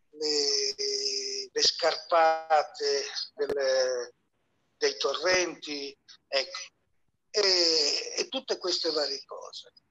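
A man speaks at a very slow pace. His speech is broken by long, frequent pauses. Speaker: bio-architect. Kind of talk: audience comment. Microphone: heard through moderator's phone.

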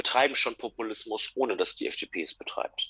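The recording sounds dry and close, without any echo. In it, a man is talking. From Germany, Lippe district, North Rhine-Westphalia. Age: 20s. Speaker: political magazine writer. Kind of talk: interview.

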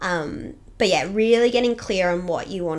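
With an Australian accent, a woman speaks at a fairly quick pace and fairly low pitch, with lively intonation and vocal fry. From Australia, Toowoomba (Queensland). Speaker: fitness business owner, boxing coach. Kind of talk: casual interview chat.

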